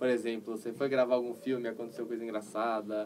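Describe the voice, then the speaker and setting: Someone talks at a fairly quick pace in an ordinary speaking voice. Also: man. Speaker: geek channel host. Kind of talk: interview. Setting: livestream.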